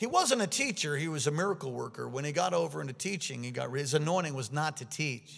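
A man talks at a very fast pace with hardly any pauses. His fairly high pitch carries vocal fry. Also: ordinary pitch variation. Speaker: pastor. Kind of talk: sermon. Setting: church.

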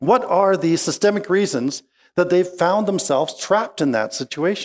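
A high-pitched man with a Western Canadian accent, lively intonation and a moderate pace. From Okanagan Valley, British Columbia, Canada. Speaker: pastor. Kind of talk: sermon.

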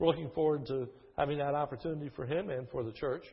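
A man is speaking. He has an American accent. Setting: church. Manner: avoids theatrics, natural voice.

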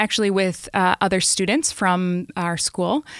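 A woman with a plain, everyday voice speaks at a moderate pace with ordinary pitch variation on a very clean recording with a silent background. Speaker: nonprofit refugee services staffer. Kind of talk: interview.

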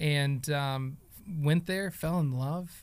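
Very slowly and with fairly even intonation, a man speaks at a fairly high pitch in an American accent. The recording is very clean, with a silent background. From Oklahoma. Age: 30s. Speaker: theology teacher, pastor. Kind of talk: casual chat.

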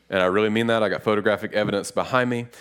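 Against a very clean recording with a silent background, a man with a Western North Carolina accent speaks at a fairly low pitch with fairly even intonation. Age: 30s. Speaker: pastor. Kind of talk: sermon. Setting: church.

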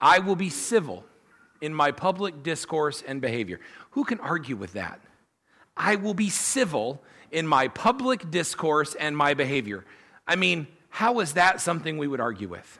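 A man talks at a moderate pace with a fairly high pitch and vocal fry. His tone is bright and sharp, with very wide pitch swings. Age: 40s. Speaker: pastor. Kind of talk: sermon. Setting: church.

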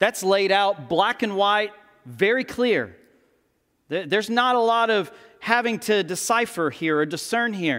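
With a Texan accent, a man speaks at a fairly slow pace in a high, bright, sharp voice with lively intonation. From Texas. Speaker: pastor. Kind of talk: sermon. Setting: church.

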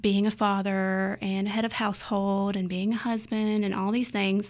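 The recording is very clean and the background silent. The speaker is a woman with a Southern US accent. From North Carolina, Ruffin (rural). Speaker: stay-at-home mom, church small group leader. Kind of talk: casual chat. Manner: animated, laughs often.

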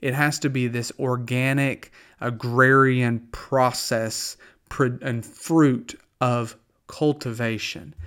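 Fairly even intonation and a very slow pace from a man with a strong Southern US accent, on a very clean recording with a silent background. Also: medium pitch for a man. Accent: strong Southern US drawl. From US South. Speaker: pastor. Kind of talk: radio devotional talk. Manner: conversational, with fillers and false starts.

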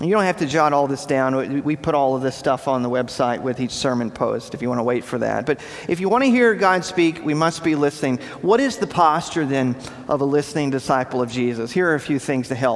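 This man's fairly high pitch shows ordinary pitch variation, with noticeable background noise behind him. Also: fairly quick pace. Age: 40s. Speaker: pastor. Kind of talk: sermon.

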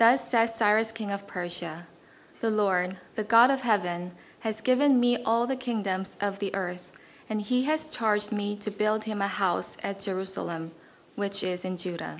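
A woman speaks in a plain, everyday voice at a medium pitch. Her pace is moderate, with ordinary pitch variation. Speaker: scripture reader. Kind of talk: reading aloud. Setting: church.

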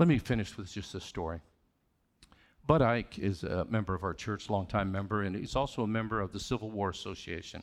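A plain, everyday voice from a man, fairly low in pitch and fairly quick, with ordinary pitch variation, on a very clean recording with a silent background. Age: 60s. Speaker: lay preacher. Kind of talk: sermon. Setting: church with congregation.

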